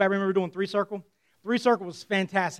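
With ordinary variation in his pitch, this man's voice sits high. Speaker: pastor. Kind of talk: sermon. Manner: fast.

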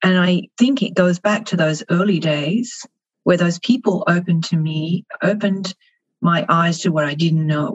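With an Australian accent, a woman talks at a moderate pace in a fairly low, somewhat breathy voice. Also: ordinary pitch variation. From Melbourne, Australia. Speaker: marketing executive. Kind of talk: interview.

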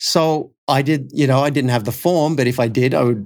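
In an Australian accent, a man speaks at medium pitch with ordinary pitch variation on a very clean recording with a silent background. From Australia (Cessnock, NSW). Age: 50s. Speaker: coach and company founder. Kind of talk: interview conversation.

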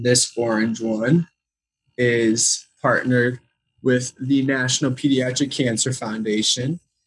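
A man's monotone, flat delivery in a Chicago accent. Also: medium pitch for a man, fairly slow pace. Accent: Chicago American. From US Midwest, Chicago. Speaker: entrepreneur. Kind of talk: interview.

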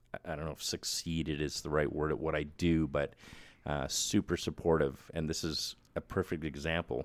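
A man with a Canadian accent speaks at a moderate pace in a very deep, low pitch with vocal fry. His intonation is monotone and flat, and the recording is very clean with a silent background. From Manitoba, Canada. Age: 50s. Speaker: film makeup artist. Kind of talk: casual chat.

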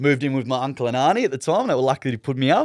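On a very clean recording with a silent background, a man with an Australian accent sounds dry and close, with no echo. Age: young. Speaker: former zookeeper, pet cremation worker. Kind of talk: casual interview chat.

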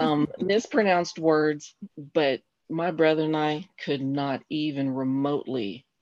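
An American accent with ordinary pitch variation, against a quiet background. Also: woman. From Colorado Springs, Colorado. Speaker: guest, host's mother. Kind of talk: casual chat.

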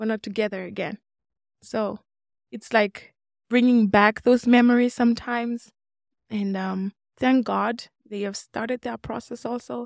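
The pace is fairly slow, with long, frequent pauses, flat monotone intonation and big swings in loudness. The recording is very clean and silent behind the voice, with a dry, close sound and no echo. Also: woman, fairly high pitch for a woman. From Namibia. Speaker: teaching assistant. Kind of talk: interview storytelling.

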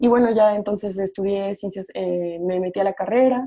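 A woman's dark, mellow tone at a moderate pace. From Mexico, Morelia (Michoacán). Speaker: podcast co-host, environmental scientist. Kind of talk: casual chat.

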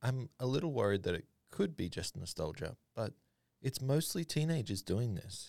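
Recorded with a dry, close sound and no echo, a man speaks at a medium pitch with vocal fry. His pitch swings very widely, and his pace is moderate. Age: 30s. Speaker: web developer podcast co-host. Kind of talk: casual chat.

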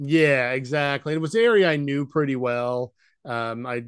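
A man with an American accent has an unremarkable speaking voice, fairly high in pitch. He talks at a moderate pace with ordinary pitch variation. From Idaho, US. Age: 50s. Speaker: retired engineer and vacation rental owner. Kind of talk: casual interview.

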